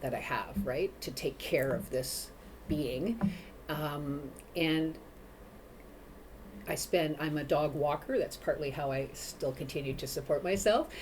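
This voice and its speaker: Somewhat breathy and very deep, a woman's low-pitched voice moves at a fairly slow pace with ordinary pitch variation and long, frequent pauses. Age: 50s. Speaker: mental health advocate, dog walker. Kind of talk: interview chat. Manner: animated; halting, many repeats.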